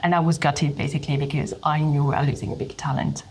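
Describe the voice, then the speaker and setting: This woman has a French accent and a very deep, low pitch. She speaks at a very fast pace. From France. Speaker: HR leader. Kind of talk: interview.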